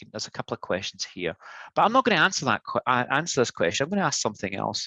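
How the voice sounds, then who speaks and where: A man with a Scottish accent, bright and sharp in tone, in a dry, close sound with no echo. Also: quiet background. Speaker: product manager. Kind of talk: tech demo presentation. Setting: live webinar.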